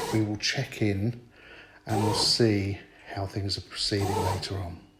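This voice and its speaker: Over noticeable background noise, a man speaks fairly slowly in a fairly low, monotone, flat voice. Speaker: home cooking vlogger. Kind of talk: cooking tutorial. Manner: casual, chatty.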